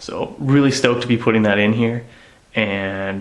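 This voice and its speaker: A man speaks at a fairly low pitch with ordinary pitch variation. Noticeable background noise runs beneath him. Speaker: car hobbyist vlogger. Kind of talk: casual vlog. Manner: animated. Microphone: sound may be poor from whispering.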